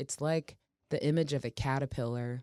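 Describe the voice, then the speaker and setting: A woman's very deep, low voice with an American accent, dark and mellow in tone, with ordinary pitch variation, on a very clean recording with a silent background. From Portland, Oregon, US. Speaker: soul singer. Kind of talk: interview.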